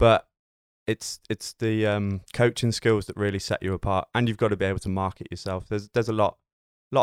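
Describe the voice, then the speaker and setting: A man with a British accent speaks fairly quickly in a fairly low, flat monotone, the sound dry and close with no echo. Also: very clean recording, silent background. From Britain. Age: 20s. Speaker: personal trainer. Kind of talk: casual chat.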